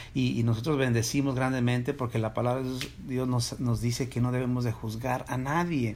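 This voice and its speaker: A man talks at a fairly quick pace with hardly any pauses. His medium pitch stays monotone, with flat intonation. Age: 40s. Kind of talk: casual faith-based chat. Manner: halting, frequent repetitions.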